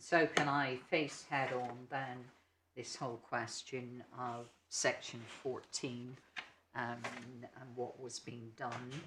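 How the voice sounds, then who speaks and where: A man with an English accent speaks very slowly at a medium pitch, with monotone, flat intonation and long, frequent pauses. His loudness swings widely, and room echo is audible. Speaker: barrister. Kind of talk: legal argument in court. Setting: courtroom. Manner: soft-spoken, not projecting; hesitant, many ums.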